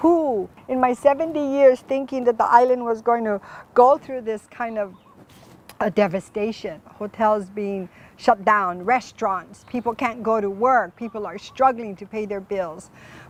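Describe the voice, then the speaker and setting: Loudness swings widely at a fairly slow pace as the speaker, in a Hawaiian accent, shows ordinary pitch variation. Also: woman, fairly high pitch for a woman. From Hawaii, Oahu. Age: 70s. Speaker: community foundation host. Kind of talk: interview show. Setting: outdoors in a garden.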